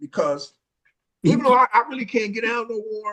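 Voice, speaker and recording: Speaking at a moderate pace, a man sounds animated in tone. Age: 60s. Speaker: former street dancer. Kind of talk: casual storytelling. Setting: video call.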